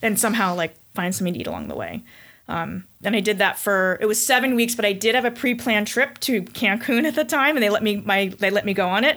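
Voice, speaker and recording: At a very fast pace, a woman with an American accent speaks in a fairly high pitch with a bright, sharp tone and ordinary pitch variation, on a very clean recording with a silent background. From Connecticut, US. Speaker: breast cancer survivor, weightlifter. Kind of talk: casual interview. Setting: studio, in person.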